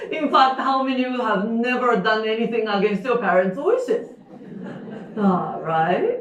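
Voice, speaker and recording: Amid audible room echo and noticeable background noise, a woman with a Japanese accent speaks at a fairly high pitch. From Japan, Osaka. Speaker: storyteller. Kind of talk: storytelling performance. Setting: stage with live audience. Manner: halting, with fillers.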